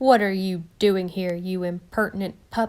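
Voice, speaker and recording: A woman uses a gruff, growling put-on character voice at medium pitch. Her pace is moderate and her intonation fairly even. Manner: gruff, growling, scolding.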